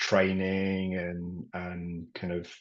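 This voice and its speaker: A man speaks in a very deep, low pitch with a Yorkshire accent. His intonation is monotone and flat. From Yorkshire, England. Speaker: property and business coach, army veteran. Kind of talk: podcast interview.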